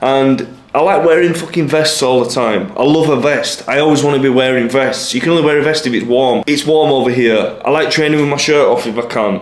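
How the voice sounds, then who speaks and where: Over noticeable background noise and audible room echo, a man with an English accent speaks fairly quickly in a fairly high voice with ordinary pitch variation. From England. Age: 20s. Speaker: lifestyle vlogger. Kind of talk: casual vlog monologue.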